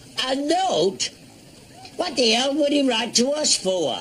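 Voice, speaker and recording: A man's put-on character voice at an extremely high pitch and a fairly slow pace, with clear background noise. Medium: short film. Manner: grumbling, slow.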